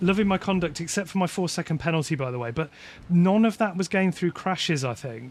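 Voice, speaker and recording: This man has a West Midlands accent and ordinary pitch variation. The recording is very clean, with a silent background. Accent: mild West Midlands English. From West Midlands, England. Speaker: sim racing streamer. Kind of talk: casual live stream chat. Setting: live stream while gaming.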